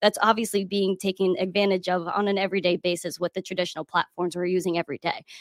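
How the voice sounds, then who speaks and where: The speech comes at a very fast pace with hardly any pauses and monotone, flat intonation. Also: woman, medium pitch for a woman. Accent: American. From New York City. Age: 20s. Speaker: crypto educator. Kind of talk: casual chat.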